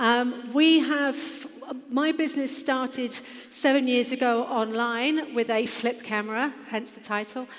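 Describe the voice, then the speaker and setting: A woman with an English accent speaks at a high pitch and a fairly slow pace, with fairly even intonation and big swings in loudness, amid noticeable background noise and audible room echo. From England. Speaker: fitness business founder. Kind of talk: conference presentation. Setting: stage with audience.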